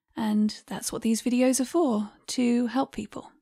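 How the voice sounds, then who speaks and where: A dark, mellow tone at a fairly slow pace, with fairly even intonation. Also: woman. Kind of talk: personal talk to camera.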